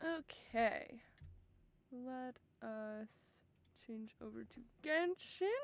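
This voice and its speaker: A woman at a high pitch, with lively intonation, at a very slow pace with long, frequent pauses. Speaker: game streamer. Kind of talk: casual livestream chat. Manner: quiet.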